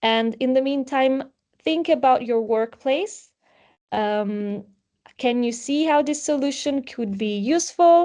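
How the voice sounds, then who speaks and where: A woman's high, dark, mellow voice with an Italian accent, at a very slow pace, with ordinary pitch variation and a quiet background. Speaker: webinar moderator. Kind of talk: webinar presentation.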